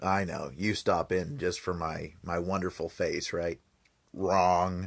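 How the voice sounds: In a put-on character voice, a man growls out his lines at a fairly slow pace with a very deep, low pitch, a raspy, gravelly texture, and fairly even intonation.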